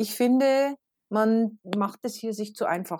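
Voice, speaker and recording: In a very clean recording with a silent background, a woman with a plain, everyday voice and a fairly high pitch talks at a moderate pace with ordinary pitch variation. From Bavaria, Regensburg. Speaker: teacher and mother. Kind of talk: casual interview.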